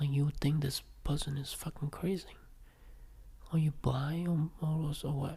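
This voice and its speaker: A man talks in a somewhat breathy, dark, mellow tone. His intonation is monotone and flat, broken by long, frequent pauses. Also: fairly high pitch for a man, moderate pace. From Vietnam. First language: Vietnamese. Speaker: podcaster. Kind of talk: personal reflective monologue.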